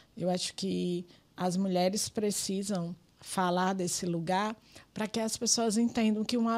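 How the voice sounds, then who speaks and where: In a very clean recording with a silent background, a woman with a dark, mellow tone and medium pitch speaks at a fairly slow pace with fairly even intonation. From Brazil, Rio Grande do Norte (Pedro Avelino). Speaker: politician and community activist. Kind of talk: podcast interview.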